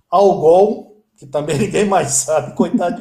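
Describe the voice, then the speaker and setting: A man at a very slow pace. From Brasília, Brazil. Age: 50s. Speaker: Java developer. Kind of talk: interview.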